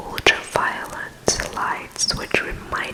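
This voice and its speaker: A woman whispers over noticeable background noise. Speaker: ASMR vlogger. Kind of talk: casual talk to camera. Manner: whispered.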